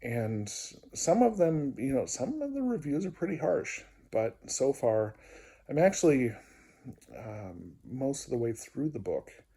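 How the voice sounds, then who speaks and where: A somewhat breathy man speaks at a fairly slow pace in a fairly high pitch. His pitch swings very widely, with long, frequent pauses. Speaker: video diarist and music therapist. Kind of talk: personal video diary. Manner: hesitant, many fillers.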